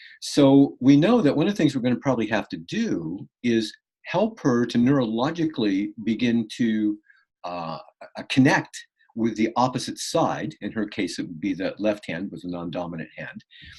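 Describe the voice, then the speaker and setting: A man speaks with an American accent and very wide pitch swings. His loudness rises and falls sharply. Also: medium pitch for a man, moderate pace. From California. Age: 60s. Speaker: martial arts and healing coach. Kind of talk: interview. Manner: halting.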